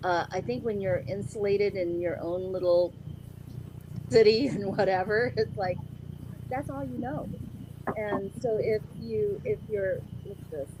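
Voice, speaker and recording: Noticeable background noise sits behind a woman of medium pitch who talks fairly slowly with lively intonation and long, frequent pauses. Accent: American. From US (came from Philippines at five). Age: 60s. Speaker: interview guest. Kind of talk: casual interview chat.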